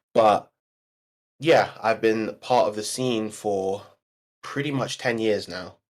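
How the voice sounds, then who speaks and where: A man talks at a medium pitch and a very slow pace, with long, frequent pauses and fairly even intonation. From London, England. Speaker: esports commentator and player. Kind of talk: interview.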